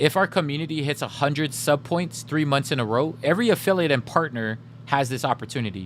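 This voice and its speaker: Vocal fry marks a man's fairly high pitch as he talks at a moderate pace with ordinary pitch variation. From Samoa. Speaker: gaming streamer. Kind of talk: casual live stream chat. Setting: live stream.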